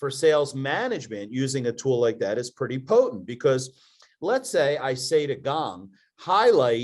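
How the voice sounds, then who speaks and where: A strong Philadelphia accent at a moderate pace over a quiet background. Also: man. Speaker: podcast co-host, entrepreneur. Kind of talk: casual chat.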